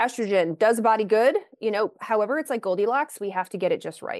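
A woman with an American accent in an ordinary speaking voice, medium in pitch with ordinary variation, at a fairly quick pace, the sound dry and close with no echo against a quiet background. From Kentucky, US. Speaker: naturopathic physician. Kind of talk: interview.

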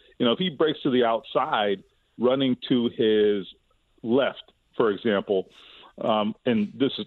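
A man talks fairly slowly in a plain, everyday voice. His pitch is medium, with ordinary variation. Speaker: sports radio guest discussing football. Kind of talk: sports radio discussion.

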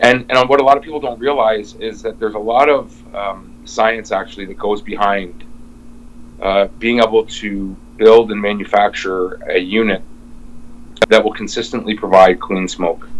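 Over noticeable background noise, a man with a Canadian accent talks at a moderate pace in a fairly low pitch with fairly even intonation. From Windsor, Ontario. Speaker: smoker manufacturer. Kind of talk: interview. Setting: video call. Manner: halting.

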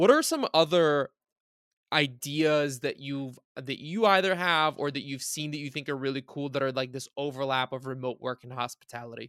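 A man speaks in a normal speaking voice, fairly high in pitch, with ordinary pitch variation at a moderate pace. The sound is dry and close with no echo, on a very clean recording with a silent background. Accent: American. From Bulgaria until age 10-11, then United States. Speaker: podcast host. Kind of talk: interview.

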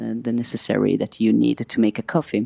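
Recorded very cleanly with a silent background, a woman with an Italian accent speaks in a very deep, low pitch. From Italy, Milan. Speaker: sound artist and composer. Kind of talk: interview. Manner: halting, many fillers.

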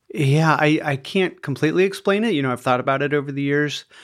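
A man with an American accent speaks in a plain, everyday voice at a fairly high pitch and a fairly quick pace. The recording is very clean, with a silent background. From US Midwest, small-town Iowa. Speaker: mental health facility owner. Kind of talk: casual interview.

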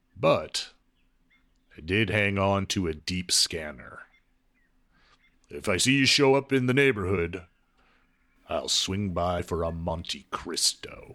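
A man in a put-on character voice, at a fairly slow pace with ordinary pitch variation. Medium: audio drama. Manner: calm, unhurried.

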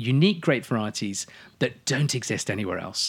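A man with an English accent and very wide pitch swings. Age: 40s. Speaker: wine expert. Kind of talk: casual chat. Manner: animated.

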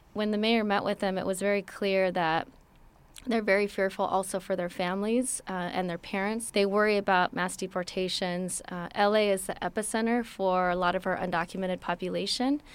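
In a very clean recording with a silent background, a woman with an American accent talks fairly quickly at a medium pitch with fairly even intonation, an ordinary speaking voice. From Los Angeles, US. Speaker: city immigrant affairs director. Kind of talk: interview.

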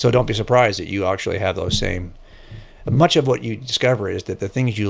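Recorded very cleanly against a silent background, a man speaks at medium pitch with ordinary pitch variation in an unremarkable speaking voice. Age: 60s. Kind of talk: casual interview.

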